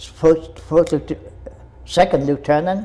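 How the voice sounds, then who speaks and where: A man is speaking. His pace is very slow. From Vietnam. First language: Vietnamese. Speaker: war veteran. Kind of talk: interview answer.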